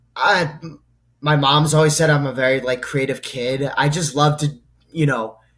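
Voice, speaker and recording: Here is a man with an American accent and a somewhat breathy voice. His pitch is fairly high, with fairly even intonation. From Massachusetts, New England. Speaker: sports content creator. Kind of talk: podcast interview.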